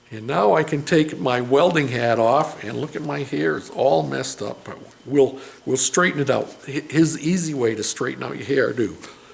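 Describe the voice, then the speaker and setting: Lively intonation and big swings in loudness come at a moderate pace, over noticeable background noise and audible room echo. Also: man, medium pitch for a man. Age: 60s. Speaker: DIY mechanic and fabricator. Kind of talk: casual vlog talk. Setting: home garage. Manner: relaxed, hesitant with fillers.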